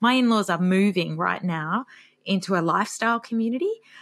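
On a very clean recording with a silent background, a woman with an Australian accent speaks fairly quickly at a medium pitch with lively intonation. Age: 40s. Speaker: author and retirement expert. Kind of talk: interview.

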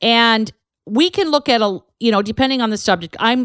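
In an ordinary speaking voice, a woman talks at a moderate pace with ordinary pitch variation, the sound dry and close with no echo on a very clean recording with a silent background. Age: 50s. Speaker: canine herbalist podcast host. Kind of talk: solo educational monologue. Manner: casual, chatty.

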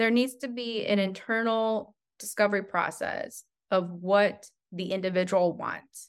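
A woman with an unremarkable speaking voice, medium pitch and fairly even intonation at a fairly slow pace, on a very clean recording with a silent background. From New Mexico, US (Albuquerque), born in China. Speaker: marketing agency CEO. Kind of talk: interview.

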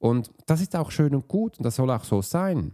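A man with a dark, mellow tone speaks at a moderate pace. His pitch swings widely. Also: medium pitch for a man.

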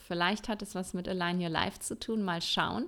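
A woman talks with fairly even intonation at a medium pitch. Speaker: Ayurveda coach and podcast host, former physician. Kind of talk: solo podcast monologue. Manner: casual, many filler sounds.

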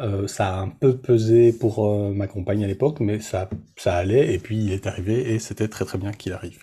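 Recorded very cleanly against a silent background, a man talks at a moderate pace in a fairly low, somewhat breathy voice with a dark, mellow tone and fairly even intonation. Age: 40s. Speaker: web developer and separated father. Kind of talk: interview testimony. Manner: halting, many fillers.

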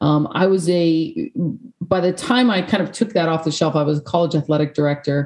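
A woman with a normal speaking voice and an American accent talks at a fairly quick pace. Her pitch varies in an ordinary way. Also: fairly low pitch for a woman. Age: 40s. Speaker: peace and sport coaching consultant. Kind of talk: interview. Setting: video call.

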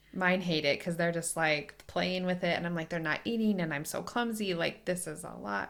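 In a plain, everyday voice, a woman with fairly low pitch speaks at a moderate pace with ordinary pitch variation and hardly any pauses. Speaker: lactation consultant podcast host. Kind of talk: casual interview.

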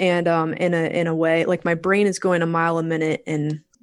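With an American accent, a woman speaks quite quickly at a fairly low pitch and with monotone, flat intonation. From Virginia Beach, US. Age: 40s. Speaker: real estate investor.

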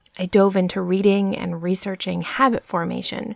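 In a plain, everyday voice, a woman with an American accent speaks at a fairly low pitch and moderate pace. The sound is dry and close, with no echo. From US, New Hampshire. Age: 30s. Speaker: podcast host, former physician assistant. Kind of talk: solo podcast monologue. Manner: upbeat.

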